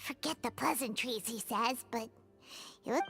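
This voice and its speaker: A put-on character voice over music in the background. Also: woman, fairly high pitch for a woman, moderate pace. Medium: video game. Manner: casual, quippy.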